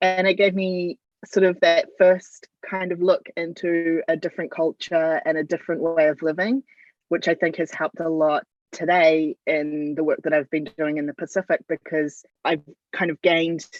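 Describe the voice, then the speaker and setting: A woman with a New Zealand accent, fairly low in pitch, at a moderate pace with fairly even intonation. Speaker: football media and communications consultant. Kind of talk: interview.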